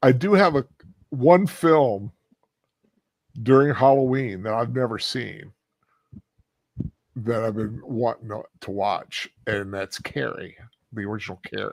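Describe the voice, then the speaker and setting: A man with a medium pitch speaks at a fairly slow pace, leaving long, frequent pauses. His intonation is lively, and his loudness swings widely. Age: 60s. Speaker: film commentary co-host. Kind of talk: casual chat.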